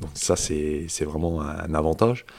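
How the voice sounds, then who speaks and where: Speaking fairly slowly, a man with a very deep, low voice is heard on a very clean recording with a silent background. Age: 50s. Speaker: karate instructor. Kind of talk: casual chat.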